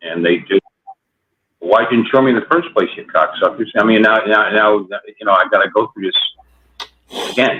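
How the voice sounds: At a moderate pace, a man with a fairly low voice and a slightly husky edge speaks with ordinary pitch variation and long, frequent pauses.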